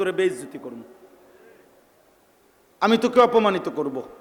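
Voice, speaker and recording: Background noise is noticeable throughout. Through it, a man's voice comes across. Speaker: Islamic preacher. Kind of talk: religious sermon. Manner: emotional, impassioned.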